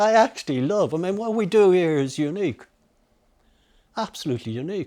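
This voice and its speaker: Someone with a Dublin accent speaks at a fairly quick pace in a dark, mellow tone. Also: man, high pitch for a man. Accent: Dublin Irish. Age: 80s+. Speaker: master glove maker. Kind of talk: documentary interview answer.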